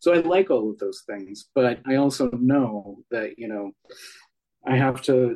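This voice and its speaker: A man talks at a fairly slow pace in an ordinary speaking voice. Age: 40s. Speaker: author and witch. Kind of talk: interview.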